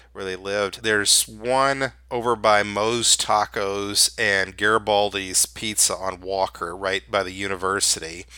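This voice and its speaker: On a very clean recording with a silent background, a man with a Memphis accent speaks in a fairly low, bright, sharp voice with fairly even intonation. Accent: US Southern (Memphis). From Memphis, Tennessee. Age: 50s. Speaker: freelance writer and photographer. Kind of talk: interview.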